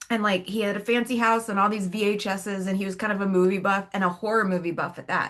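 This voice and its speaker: Her tone is animated and her pace very fast. The woman barely pauses at all. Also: medium pitch for a woman. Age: 40s. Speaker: podcast co-host. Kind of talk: casual chat.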